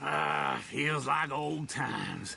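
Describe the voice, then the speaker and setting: With clear background noise behind him, a man performs a raspy, put-on character voice. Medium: game stream. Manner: folksy, cackling.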